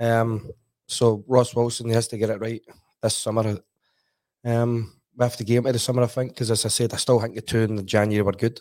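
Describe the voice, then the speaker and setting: Speaking in a monotone, flat way at a fairly quick pace, a man with medium pitch is heard on a very clean recording with a silent background. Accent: Glasgow. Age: 40s. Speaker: football pundit, former player. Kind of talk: casual football chat. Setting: studio.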